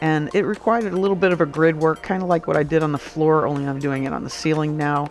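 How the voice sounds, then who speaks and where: Over music in the background, a woman speaks with a very deep, low pitch and ordinary pitch variation. She goes at a very fast pace with hardly any pauses. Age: 60s. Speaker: bus conversion DIY vlogger, veteran. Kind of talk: casual vlog narration over build footage. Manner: halting, with many fillers and repeats.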